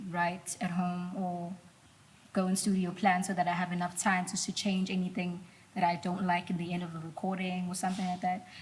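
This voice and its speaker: At a moderate pace, a woman talks at a medium pitch with fairly even intonation and a somewhat breathy quality. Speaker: singer-songwriter. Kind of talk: casual interview chat.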